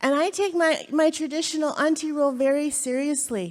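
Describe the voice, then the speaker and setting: A woman speaks at a moderate pace in a high pitch. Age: 40s. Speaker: birth worker and panelist. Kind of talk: panel discussion. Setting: stage with audience. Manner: halting, many fillers and restarts.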